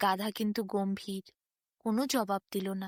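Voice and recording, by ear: The delivery has fairly even intonation at a moderate pace, with a dry, close sound and no echo. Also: woman, medium pitch for a woman, very clean recording, silent background.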